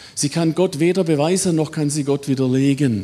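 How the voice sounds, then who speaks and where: A man with a Swabian accent speaks in a dark, mellow tone. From Swabia, southwestern Germany. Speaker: biology professor. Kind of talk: lecture.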